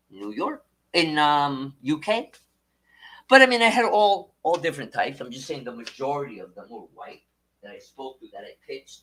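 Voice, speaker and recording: A man speaks at a moderate pace with a fairly high pitch. His pitch swings very widely. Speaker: livestreamer, former Wall Street salesman. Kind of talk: casual livestream talk. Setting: livestream.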